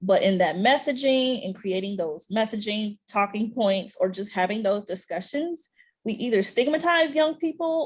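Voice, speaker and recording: A woman with an American accent, medium pitch, lively intonation and a somewhat breathy sound. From US South, Alabama. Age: young. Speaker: policy advocate. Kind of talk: panel discussion. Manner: fast.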